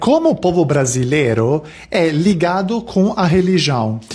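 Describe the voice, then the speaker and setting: With noticeable background noise, a man talks with an Italian accent and lively intonation. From Italy. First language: Italian (speaking Portuguese). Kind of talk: casual vlog talk.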